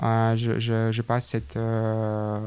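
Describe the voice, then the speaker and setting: A man speaks with a Russian accent. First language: Russian (speaking French). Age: 20s. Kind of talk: interview. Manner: halting.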